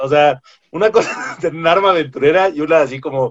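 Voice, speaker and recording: A man speaks with a fairly high pitch and a normal speaking voice. His pace is moderate. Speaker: podcast co-host. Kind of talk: casual chat.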